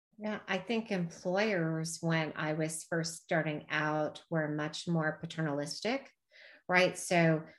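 A woman with an unremarkable speaking voice talks at a fairly low pitch with ordinary pitch variation. The recording is very clean, with a silent background. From US Midwest and Texas/Oklahoma, moved often. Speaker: health benefits executive. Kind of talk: casual interview.

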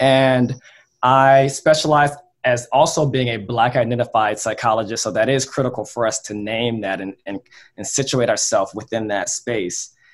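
A man with an American accent and a plain, everyday voice speaks at a moderate pace with fairly even intonation. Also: medium pitch for a man. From Southern California, Long Beach. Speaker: psychologist. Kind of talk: panel discussion.

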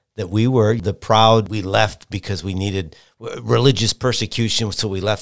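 Recorded very cleanly against a silent background, a man speaks with a Midwestern American accent. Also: hardly any pauses. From Michigan. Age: 50s. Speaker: TV weather forecaster and reporter. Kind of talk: casual interview.

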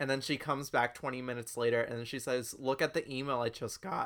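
A man with a normal speaking voice talks at a moderate pace, medium in pitch and fairly even in intonation. The recording is very clean against a silent background. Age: 20s. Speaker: podcast co-host. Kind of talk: casual chat.

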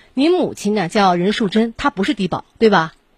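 A woman at medium pitch sounds somewhat breathy, her lively intonation moving at a fairly quick pace in a dry, close sound with no echo. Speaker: radio host. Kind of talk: call-in show. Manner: direct.

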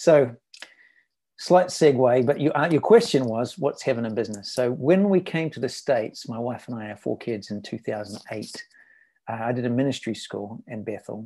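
A man's medium-pitched, dark, mellow voice in a New Zealand accent, at a moderate pace with lively intonation and big swings in loudness, over a quiet background. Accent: New Zealand accent, noticeable. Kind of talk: interview conversation.

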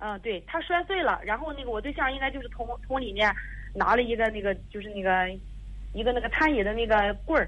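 Speaking at a fairly quick pace, a woman with a fairly high pitch uses lively intonation and big swings in loudness. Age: 30s. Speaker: caller seeking advice. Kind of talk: phone-in advice call. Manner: halting, many fillers.

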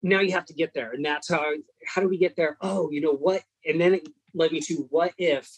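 A man speaks fairly quickly in an American accent, his pitch fairly high and his intonation fairly even. It is an unremarkable speaking voice, with a dry, close sound and no echo. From California. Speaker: indie horror author. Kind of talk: casual chat.

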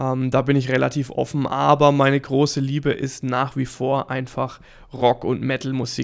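Over music in the background, the voice moves at a fairly slow pace with monotone, flat intonation. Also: man. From Lower Franconia, Germany (near Würzburg). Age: 30s. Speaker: guitar coach and podcast host. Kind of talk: casual monologue.

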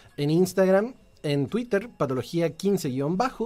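Here a man with a Chilean accent talks at a fairly slow pace in a high pitch. His intonation is lively, and the recording is very clean with a silent background. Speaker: radio host. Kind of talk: live radio chat. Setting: radio studio.

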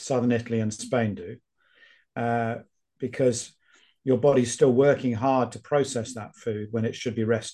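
A man with a British accent, fairly even intonation and a fairly slow pace. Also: quiet background. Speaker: epidemiologist and author. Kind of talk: casual interview.

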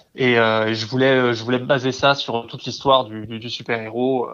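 Monotone, flat intonation runs through a man's medium-pitched voice. He keeps a moderate pace. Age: 30s. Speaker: comics translator. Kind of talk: casual interview. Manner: halting, many repeated words.

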